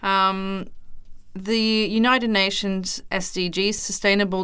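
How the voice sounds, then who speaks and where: A woman speaks in a normal speaking voice at medium pitch. The recording is very clean, with a silent background. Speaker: podcast producer. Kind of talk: interview conversation.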